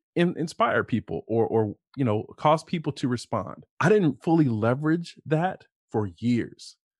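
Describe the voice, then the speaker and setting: With a normal speaking voice, a man talks at a moderate pace with lively intonation, the sound dry and close with no echo against a quiet background. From Ohio, US Midwest. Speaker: executive coach. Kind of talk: casual interview conversation.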